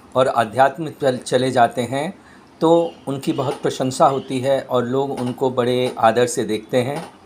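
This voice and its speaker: A man's voice at a fairly high pitch. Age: 60s. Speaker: chemistry lecturer. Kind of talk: personal opinion monologue. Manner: halting, many fillers.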